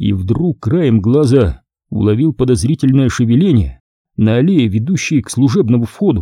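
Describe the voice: Quiet background behind plain reading aloud with lively intonation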